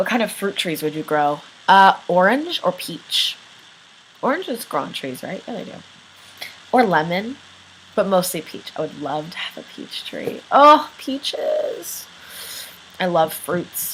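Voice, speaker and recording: A woman speaks at medium pitch with very wide pitch swings and big swings in loudness. Long, frequent pauses break up her speech over noticeable background noise. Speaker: vlogger. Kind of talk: casual Q&A vlog. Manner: casual, filler-heavy.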